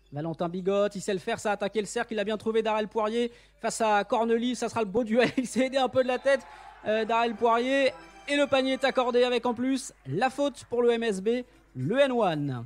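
Music plays in the background as a man talks at a moderate pace. His pitch is extremely high, with ordinary pitch variation. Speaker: basketball commentator. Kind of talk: basketball live commentary. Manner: excitable, rising on big plays.

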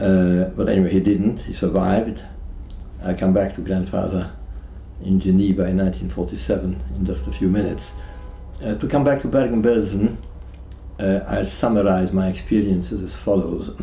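Music plays in the background as a man with a very deep, low pitch and very wide pitch swings speaks at a moderate pace with long, frequent pauses and audible room echo. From Hungary. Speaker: Holocaust survivor. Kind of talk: testimony. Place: home room.

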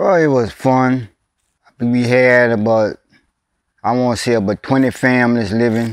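Against a quiet background, a man with a South Louisiana accent speaks with fairly even intonation and very even loudness in a dry sound with no echo. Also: moderate pace. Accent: South Louisiana rural English. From Louisiana, USA. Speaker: oral history interviewee. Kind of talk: oral history interview answer. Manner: casual, conversational. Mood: warm, nostalgic storytelling. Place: open country.

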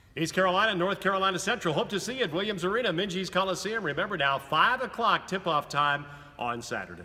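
Raising and projecting his high voice, a man speaks very fast with ordinary pitch variation. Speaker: radio play-by-play announcer. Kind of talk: sports interview host. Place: hall.

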